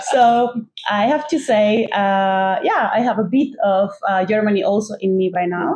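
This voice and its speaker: A fairly slow delivery in a Mexican accent, with ordinary pitch variation and very even loudness. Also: woman, fairly high pitch for a woman. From northern Mexico. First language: Spanish. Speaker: podcast co-host. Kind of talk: casual conversation. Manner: halting, many fillers.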